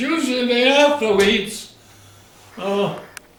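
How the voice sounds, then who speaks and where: Against noticeable background noise, a man with an American accent talks very slowly, his extremely high pitch carried on lively intonation. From South Dakota, USA. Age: 80s+. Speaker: retired farmer. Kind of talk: oral history interview answer.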